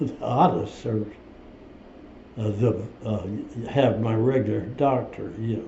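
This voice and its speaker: A man with an American accent at a medium pitch, fairly even intonation and a very slow pace, amid audible room echo. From US Midwest. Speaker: war veteran. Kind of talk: interview. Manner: halting.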